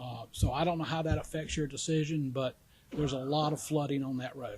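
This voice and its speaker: A somewhat breathy man's voice, fairly high in pitch, at a fairly quick pace with monotone, flat intonation. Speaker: public commenter at county meeting. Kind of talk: public comment. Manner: halting.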